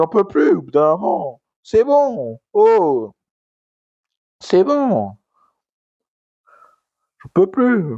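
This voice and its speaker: The man is loud, and his pitch swings very widely. He speaks at a very slow pace. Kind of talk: casual talk to camera, wrestling commentary rant. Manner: ranting, loud.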